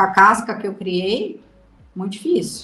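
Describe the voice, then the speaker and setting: A woman's fairly slow speech comes through with noticeable background noise. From Brazil. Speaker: mother of abducted child. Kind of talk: interview testimony.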